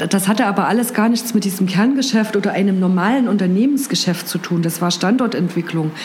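Over noticeable background noise, a woman speaks at a medium pitch with ordinary pitch variation and very even loudness. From Thuringia, eastern Germany (Gera). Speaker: head of communications and marketing. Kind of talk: interview.

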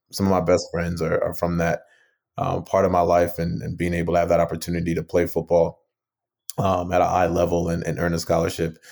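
A man with an American accent and a very deep, low pitch talks at a fairly quick pace in a monotone, flat delivery, on a very clean recording with a silent background. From Minnesota, Twin Cities suburbs (born Nigeria, emigrated at six). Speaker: startup founder and CEO. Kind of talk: interview. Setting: podcast interview. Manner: frequent fillers and repetitions.

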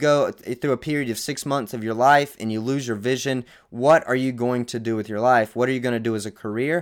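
Speaking at a moderate pace in an American accent, a man keeps a medium pitch and fairly even intonation. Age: 20s. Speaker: bodybuilder and content creator. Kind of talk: personal testimony monologue. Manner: halting, many fillers and restarts.

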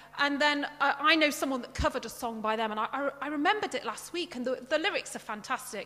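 Projecting her voice, a woman talks very fast at a high pitch with lively intonation. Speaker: lay preacher. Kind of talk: sermon. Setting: church with congregation and Zoom.

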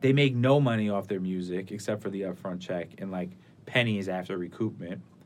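The man's delivery has an animated tone. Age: 20s. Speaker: music label executive. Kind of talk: casual chat.

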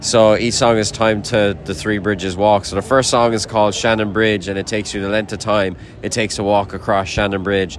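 With an Irish accent, a man speaks in a fairly low pitch and a monotone, flat intonation against noticeable background noise. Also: fairly quick pace. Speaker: musician. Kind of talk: interview.

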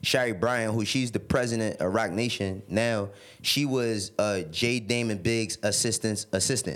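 A man with a New York accent speaks at a medium pitch and a moderate pace, with ordinary pitch variation. The recording is very clean with a silent background. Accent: New York City. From New York City, the Bronx and Harlem. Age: 30s. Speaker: music industry executive. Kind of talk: casual chat.

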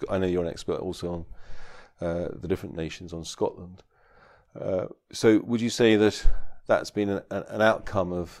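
This man's recording is very clean, with a completely silent background. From southeast England. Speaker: law professor. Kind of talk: academic discussion.

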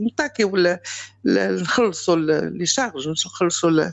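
A woman with a Moroccan accent, very wide pitch swings and a moderate pace. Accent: Moroccan Arabic (Darija). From Morocco. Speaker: caller, mother. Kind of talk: personal testimony. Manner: halting, repetitive.

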